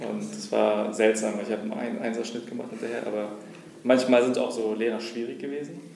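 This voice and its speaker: The speech moves at a fairly quick pace in a monotone, flat intonation. Audible room echo and noticeable background noise are present. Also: man, medium pitch for a man. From Berlin, Germany. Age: 30s. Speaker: startup founder. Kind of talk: interview.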